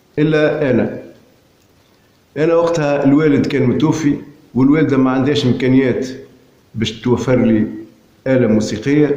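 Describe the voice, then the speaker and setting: Fairly high in pitch, a man speaks fairly slowly with a dark, mellow tone and fairly even intonation, pausing long and often. Audible room echo surrounds him. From Tunisia, Hammam-Lif area. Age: 60s. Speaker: poet and amateur filmmaker. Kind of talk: autobiographical narration. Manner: halting.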